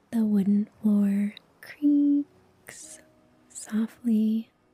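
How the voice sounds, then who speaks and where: A woman speaks at a medium pitch. The sound is dry and close, with no echo. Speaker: meditation guide. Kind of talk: guided meditation. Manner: slow; soft-spoken.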